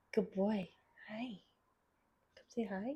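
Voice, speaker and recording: The woman's voice sits fairly high, and her intonation is fairly even. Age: 20s. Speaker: podcast host and university student. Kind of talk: casual chat. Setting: home recording with pets. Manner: chatty, filler-heavy.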